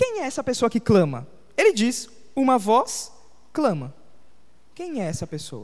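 Fairly slow delivery broken by long, frequent pauses. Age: 20s. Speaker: pastor. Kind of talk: sermon.

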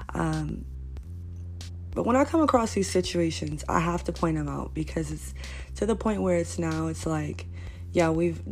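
A woman with a New York accent speaks at a fairly slow pace in a very deep, low voice, with ordinary pitch variation and audible room echo. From Brooklyn, New York. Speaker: podcast host. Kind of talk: casual monologue rant. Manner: animated.

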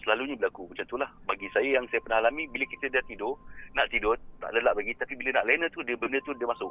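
A man speaks very fast with a Malaysian accent. Noticeable background noise runs behind him. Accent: Malaysian Malay. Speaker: paranormal YouTuber. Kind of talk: casual interview chat.

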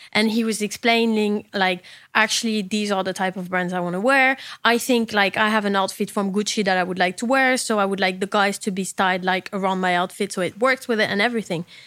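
A woman with a French accent speaks very fast at a medium pitch, her intonation fairly even. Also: very clean recording, silent background. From southern France. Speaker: fashion stylist and podcast host. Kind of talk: casual chat.

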